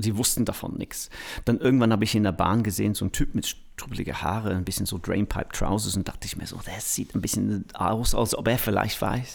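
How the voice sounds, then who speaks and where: With a fairly low pitch, a man speaks at a fairly quick pace. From England, Manchester. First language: English (speaking German). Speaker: music producer. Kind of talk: interview. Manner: halting.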